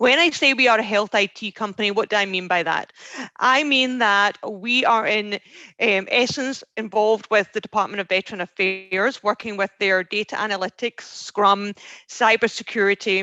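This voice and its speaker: A woman with a Scottish accent speaks at a medium pitch in a bright, sharp tone, with ordinary pitch variation and a dry, close sound with no echo. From Scotland. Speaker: recruiter, veteran outreach specialist. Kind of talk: presentation. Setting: video call. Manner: fast.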